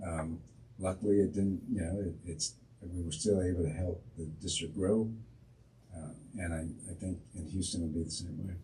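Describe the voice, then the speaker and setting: A man's voice, very deep and low in pitch, has a dark, mellow tone and is somewhat breathy. He speaks at a moderate pace with fairly even intonation, and there is audible room echo. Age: 60s. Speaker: school district superintendent. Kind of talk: interview.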